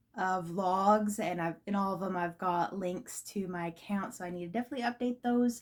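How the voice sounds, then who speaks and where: A woman's medium-pitched voice with ordinary pitch variation and hardly any pauses. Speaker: vlogger. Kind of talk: casual vlog monologue. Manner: fast; halting, many fillers.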